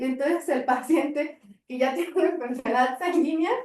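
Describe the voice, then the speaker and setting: With audible room echo, a woman speaks at a high pitch and a fairly quick pace, with ordinary pitch variation. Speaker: pediatric hematologist lecturer. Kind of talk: lecture. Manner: fast.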